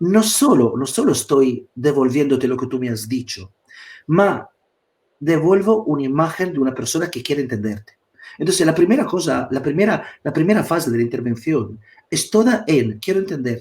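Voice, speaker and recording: Speaking in an Italian accent at a moderate pace, a man's somewhat breathy voice is fairly high for a man and has very wide pitch swings. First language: Italian (speaking Spanish). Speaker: psychotherapist. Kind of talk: live online talk. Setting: live stream video call. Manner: halting, with repetitions.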